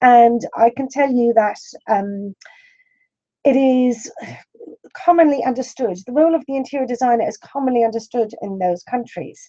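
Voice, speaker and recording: A woman with an Irish accent speaks at a moderate pace in a high, dark and mellow voice, with ordinary pitch variation and long, frequent pauses. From Ireland. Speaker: interior design school principal. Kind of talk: lecture. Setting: webinar.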